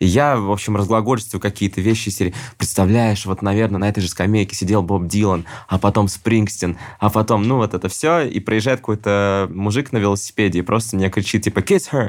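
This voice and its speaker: Fairly low-pitched man at a fairly quick pace, loudness very even, on a very clean recording with a silent background. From Russia. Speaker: musician and traveler. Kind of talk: casual interview storytelling. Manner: animated.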